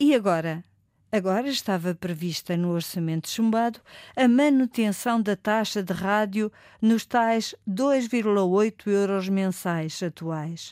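A woman speaks at a very slow pace in a medium pitch, with a dry, close sound that has no echo. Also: ordinary pitch variation, very clean recording, silent background. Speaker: ombudsman. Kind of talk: scripted narration.

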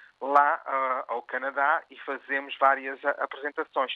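Speaking at a fairly slow pace, a man has an ordinary speaking voice with a fairly high pitch. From Oakville, Ontario, Canada, of Portuguese parents. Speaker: arts organizer. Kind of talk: interview.

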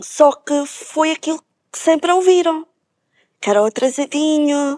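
With a high pitch and fairly even intonation, a woman talks at a very slow pace, the sound dry and close with no echo. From Alentejo, Portugal. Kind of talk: TV panel discussion.

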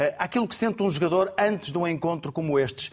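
Speaking at a fairly quick pace, a man with a high pitch talks in a European Portuguese accent. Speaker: TV sports show moderator. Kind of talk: TV football analysis panel. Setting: TV studio.

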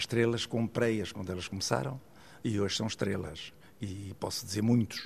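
A man's fairly low, somewhat breathy voice moves at a moderate pace, its pitch varying in an ordinary way. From Portugal, Águeda (Aveiro district). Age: 80s. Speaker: art collector and businessman. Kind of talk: interview.

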